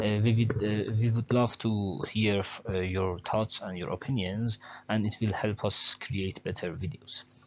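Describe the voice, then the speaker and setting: A man with a non-native accent, fairly low pitch, fairly even intonation and a fairly slow pace. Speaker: educational channel host. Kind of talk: tutorial. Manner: halting, many fillers; careful, trying to speak clearly.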